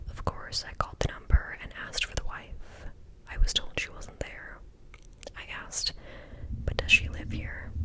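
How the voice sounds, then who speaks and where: Someone is whispering at a moderate pace with long, frequent pauses. Noticeable background noise is present. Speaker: ASMR creator. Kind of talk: read story. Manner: whispered.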